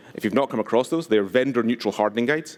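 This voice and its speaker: A man speaks very fast in a Scottish accent, with ordinary pitch variation. The recording is very clean, with a silent background. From Scotland, West Highlands. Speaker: conference speaker, security advocate. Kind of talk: conference talk.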